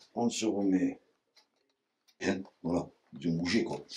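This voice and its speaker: A man talks at a very slow pace with a fairly low pitch and ordinary pitch variation. His tone is dark and mellow. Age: 60s. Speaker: basket maker. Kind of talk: craft demonstration interview. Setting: workshop. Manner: casual, hesitant with repetitions.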